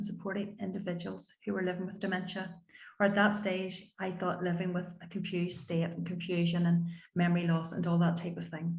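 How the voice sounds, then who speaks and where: With a Northern Irish accent, a woman talks at a fairly quick pace and a medium pitch, her somewhat breathy voice flat and monotone against audible room echo. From Northern Ireland, County Antrim. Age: 50s. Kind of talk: panel talk.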